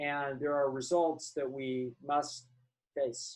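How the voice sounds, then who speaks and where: A man speaks at a fairly slow pace. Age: 60s. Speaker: psychologist. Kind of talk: interview. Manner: halting, many false starts.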